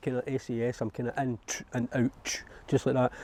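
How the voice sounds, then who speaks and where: A man with an Edinburgh accent speaks at a medium pitch in a dark, mellow tone. The background is quiet. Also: dry, close sound with no echo. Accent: Scottish (Edinburgh). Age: 60s. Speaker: allotment holder. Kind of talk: interview.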